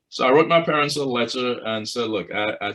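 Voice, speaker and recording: A man with a Trinidadian accent, a bright, sharp tone and medium pitch, at a moderate pace with ordinary pitch variation, in a very clean recording with a silent background. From Trinidad and Tobago. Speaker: choral conductor and professor. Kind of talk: interview.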